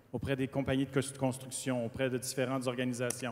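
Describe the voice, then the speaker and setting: A man with a Quebec accent is heard on a very clean recording with a silent background. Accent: Québécois. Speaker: panelist, former party leader. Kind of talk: panel discussion.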